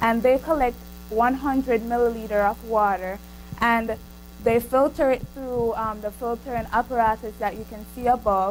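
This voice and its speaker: A woman with a Jamaican accent, fairly high in pitch, at a moderate pace with fairly even intonation and big swings in loudness, music in the background. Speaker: student researcher. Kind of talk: student presentation. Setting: seminar room with microphone. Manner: hesitant, with fillers.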